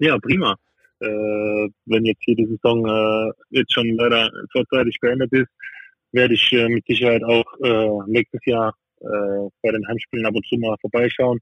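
Speaking fairly slowly, a man keeps to a medium pitch. The intonation stays monotone and flat. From southern Baden, Freiburg im Breisgau. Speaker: professional handball player. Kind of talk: casual interview. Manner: halting, many fillers.

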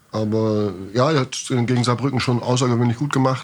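Speaking fairly quickly, the man keeps a medium pitch and a monotone, flat intonation. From northern Germany, near Bremen. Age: 50s. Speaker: goalkeeping coach. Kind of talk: podcast interview.

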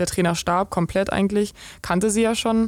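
The speech moves at a fairly quick pace in a monotone, flat intonation. The recording is very clean, with a silent background. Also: woman. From eastern Germany, Brandenburg (Eisenhüttenstadt). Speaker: professional volleyball player. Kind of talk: interview. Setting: VIP lounge of the club.

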